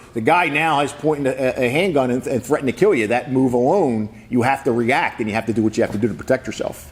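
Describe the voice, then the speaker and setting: Speaking very fast, a man uses a medium pitch with ordinary pitch variation. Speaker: sheriff. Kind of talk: press conference. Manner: halting, repeats words.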